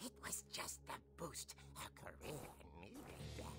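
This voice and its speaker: Loud background noise surrounds a man doing a put-on character voice. His tone is theatrical and his pace fairly slow. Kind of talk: horror narration. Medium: video game. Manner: theatrical, relishing.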